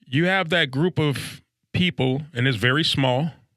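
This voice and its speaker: With vocal fry and a bright, sharp tone, a man talks at a moderate pace and medium pitch with ordinary pitch variation, in a very clean recording with a silent background. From South Central Los Angeles. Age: 50s. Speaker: recovering addict, podcast guest. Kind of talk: recovery testimony interview. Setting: studio.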